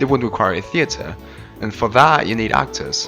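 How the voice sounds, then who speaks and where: Music plays in the background as a man speaks. His pitch is medium and his pace fairly quick. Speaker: video essayist. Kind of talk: casual humorous gameplay narration. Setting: new microphone.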